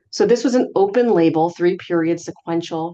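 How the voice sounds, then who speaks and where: A woman speaks very fast in a fairly low voice for a woman. Her tone is dark and mellow, with ordinary pitch variation. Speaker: physician presenting HIV research update. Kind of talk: medical lecture.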